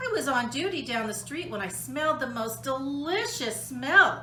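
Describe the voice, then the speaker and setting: A woman uses a put-on character voice with a high pitch. Clear background noise is heard. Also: moderate pace. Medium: read story.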